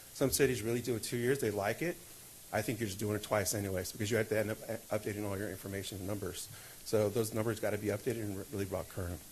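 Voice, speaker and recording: Somewhat breathy and fairly low in pitch, a man talks at a very fast pace with ordinary pitch variation. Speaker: city finance officer. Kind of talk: budget presentation at council meeting.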